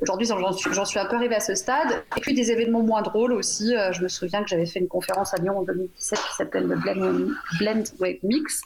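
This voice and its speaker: A woman talks at a fairly quick pace, her loudness very even. Noticeable background noise sits behind her. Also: medium pitch for a woman, ordinary pitch variation. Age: 40s. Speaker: software engineering team lead. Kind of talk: radio panel discussion. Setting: remote call into radio studio.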